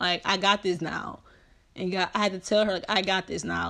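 Here a woman speaks at a medium pitch with vocal fry. Her intonation is fairly even. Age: 20s. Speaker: podcast host. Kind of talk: motivational talk. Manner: casual.

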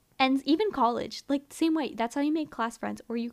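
On a very clean recording with a silent background, a woman speaks at a fairly quick pace with ordinary pitch variation. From US Northeast, Philadelphia area. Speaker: podcast co-host. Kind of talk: casual chat.

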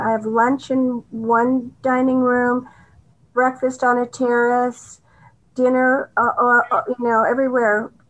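A woman's high-pitched voice with an American accent and fairly even intonation, over a quiet background. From Southern California. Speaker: arts philanthropist. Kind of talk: interview.

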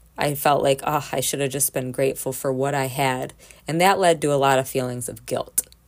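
A woman with a very deep, low pitch talks at a fairly quick pace and fairly even intonation amid noticeable background noise. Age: 30s. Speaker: podcast host. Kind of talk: personal monologue.

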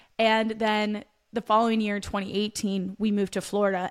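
In an American accent, a woman with a plain, everyday voice talks at a moderate pace and a fairly high pitch. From Pennsylvania. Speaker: podcast co-host, personal trainer. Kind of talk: casual chat.

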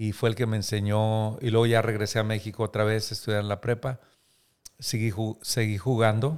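A man's fairly low-pitched voice at a moderate pace, with monotone, flat intonation. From Mexico, Coahuila (Múzquiz). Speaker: pastor and author. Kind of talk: interview testimony.

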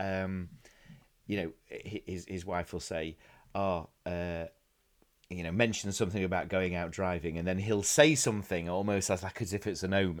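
A man talks at a moderate pace with a slight South Yorkshire accent. His pitch sits fairly low. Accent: South Yorkshire English, mild. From Doncaster, northern England. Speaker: podcast host. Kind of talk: casual chat. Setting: video call.

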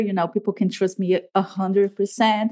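A woman's medium-pitched voice keeps a moderate pace. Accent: Latin American. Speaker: podcast host. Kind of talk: interview.

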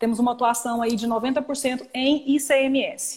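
A woman speaks in a high voice. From Goiânia, Brazil. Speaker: tax lawyer. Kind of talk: live-stream legal discussion. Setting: Instagram live video stream.

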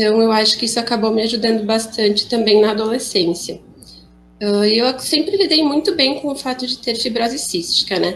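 A woman speaks at a moderate pace with a fairly high pitch in a plain, everyday voice. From Rio Grande do Sul, Brazil. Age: 20s. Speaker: young woman with cystic fibrosis. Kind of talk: personal testimony.

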